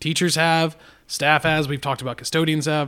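This man talks with a West Texas accent at a fairly high pitch. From Texas Panhandle (Amarillo). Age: 40s. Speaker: podcast co-host, school educator. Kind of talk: casual chat.

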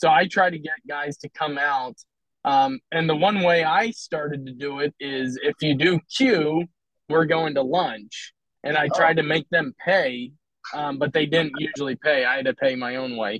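In a normal speaking voice with an American accent, a man with a fairly high pitch talks at a moderate pace, his pitch varying in an ordinary way, recorded dry and close with no echo. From Philadelphia, US. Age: 40s. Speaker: men's workout group member. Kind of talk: podcast interview.

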